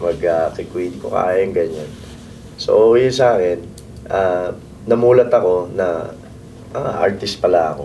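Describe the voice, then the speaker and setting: Against noticeable background noise and audible room echo, a man with a very deep, low pitch speaks at a fairly slow pace with ordinary pitch variation and long, frequent pauses. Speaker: band singer. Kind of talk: interview. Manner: halting.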